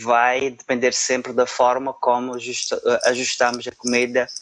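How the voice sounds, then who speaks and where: At a very slow pace, a man talks in a medium pitch with monotone, flat intonation. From Portugal, Madeira island. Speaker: supply chain analyst. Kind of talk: interview. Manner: halting, many fillers.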